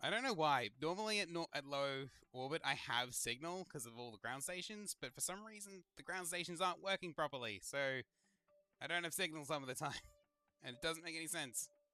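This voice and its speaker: Over music in the background, a man with a fairly high pitch talks at a fairly quick pace with lively intonation, in a dry, close sound with no echo. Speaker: gaming streamer. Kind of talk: live gameplay commentary. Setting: livestream. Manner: casual, rambling with fillers; fast.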